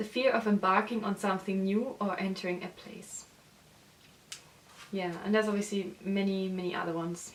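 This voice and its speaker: A woman's medium-pitched voice with a German accent, monotone and flat, with long, frequent pauses and noticeable background noise. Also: moderate pace. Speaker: illustrator and designer. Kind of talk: casual book review vlog. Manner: hesitant, with fillers.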